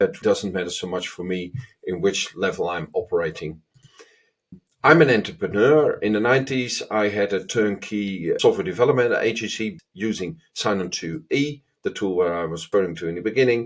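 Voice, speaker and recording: A man with a Dutch accent, fairly low in pitch, lively in intonation, at a moderate pace. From Netherlands. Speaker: agile consultant. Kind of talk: self-introduction to camera.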